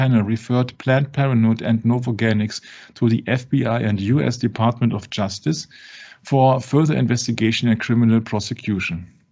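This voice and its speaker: Talking at a fairly quick pace, a man with a non-native accent speaks at a medium pitch. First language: not English. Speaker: religious discussion show host. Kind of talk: casual discussion. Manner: halting.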